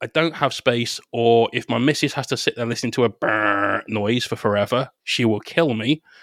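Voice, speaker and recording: A man's medium-pitched voice at a moderate pace, dry and close with no echo. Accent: West Country. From Bristol, southwest England. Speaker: painter and content creator. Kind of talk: casual interview chat.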